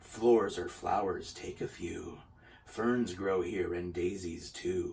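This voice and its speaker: A soft-spoken man in a put-on character voice at a fairly slow pace, against clear background noise. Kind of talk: spooky storytelling. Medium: read story. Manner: soft, hushed.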